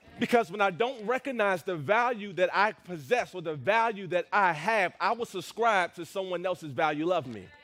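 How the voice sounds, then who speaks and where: Against music in the background, a man talks in an animated tone with lively intonation and a high pitch, with hardly any pauses. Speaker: pastor. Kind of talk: sermon. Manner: fast.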